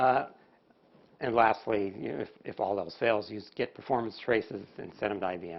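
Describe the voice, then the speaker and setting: In an unremarkable speaking voice, a man talks at a moderate pace with a fairly low pitch, ordinary pitch variation and big swings in loudness. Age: 60s. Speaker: conference presenter on database performance. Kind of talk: technical conference presentation. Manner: casual with many fillers.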